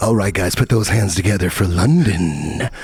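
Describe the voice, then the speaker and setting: In a put-on character voice with a fairly low pitch, a man speaks over noticeable background noise. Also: moderate pace. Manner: goofy, exaggerated.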